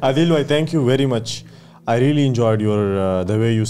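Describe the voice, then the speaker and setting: A man speaks at a moderate pace in a dark, mellow tone over light background noise. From Pakistan. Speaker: podcast host. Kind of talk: casual interview. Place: studio. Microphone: studio mic.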